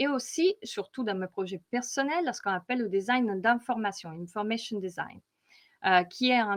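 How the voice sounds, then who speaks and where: A woman with an Italian accent, fairly high in pitch, with lively intonation against a quiet background. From Italy. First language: Italian (speaking French). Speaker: data visualization consultant. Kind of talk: conference presentation. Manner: hesitant, many fillers.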